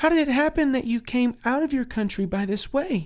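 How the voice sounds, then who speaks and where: This is a put-on character voice, fairly high in pitch and gentle in tone. The delivery moves at a fairly quick pace. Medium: read story. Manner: gentle, formal.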